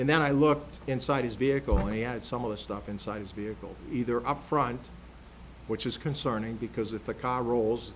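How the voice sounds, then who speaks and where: A man speaks at a fairly quick pace with vocal fry. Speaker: county sheriff presenting budget. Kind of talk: budget presentation at public meeting. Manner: fast.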